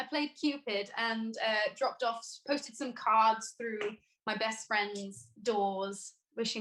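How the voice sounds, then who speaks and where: Bright and sharp in tone, a woman with a fairly high pitch speaks with a slight Welsh accent. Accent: Welsh accent barely noticeable. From Wales, Newport. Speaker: singer-songwriter. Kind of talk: casual chat.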